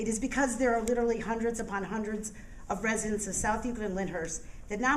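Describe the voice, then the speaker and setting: A woman's medium-pitched voice at a very fast pace, with audible room echo and noticeable background noise. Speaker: public commenter at a meeting. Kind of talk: public comment speech. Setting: public board meeting. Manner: forceful, indignant.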